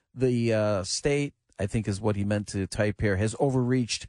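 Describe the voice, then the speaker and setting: In a normal speaking voice, a man talks at a moderate pace over a quiet background. His pitch is fairly low with ordinary variation. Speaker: radio producer. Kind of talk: casual chat.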